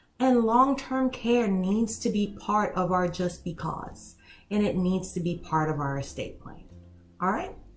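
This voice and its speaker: Music plays behind a woman who speaks fairly slowly at a medium pitch, her intonation lively. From Haiti. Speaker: elder law attorney. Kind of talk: casual talk to camera.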